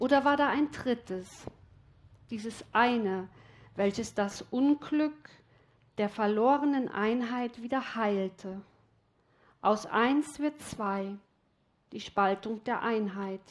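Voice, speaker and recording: Soft-spoken, a woman talks at a very slow pace with long, frequent pauses and a fairly high pitch. The background is quiet. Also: ordinary pitch variation. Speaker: storyteller. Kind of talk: story narration, reading a fairy tale aloud. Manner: slow, dreamy, soft and flowing. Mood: calm, reflective. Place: studio. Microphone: headset.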